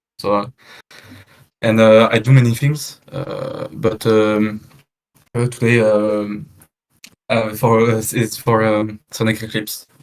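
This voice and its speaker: The pace is very slow, with long, frequent pauses. The intonation stays monotone and flat. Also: man, medium pitch for a man. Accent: strong French. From France. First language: French. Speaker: lead fan game developer. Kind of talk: casual chat. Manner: halting, many fillers.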